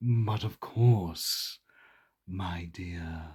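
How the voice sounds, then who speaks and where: Against a silent background in a very clean recording, a man uses a put-on character voice with a very deep, low pitch. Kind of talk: posh.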